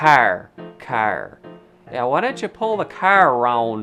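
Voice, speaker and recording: Over music in the background, a put-on character voice sounds nasal, with a low-to-middle pitch and a fairly slow pace. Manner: hard, drawn-out r.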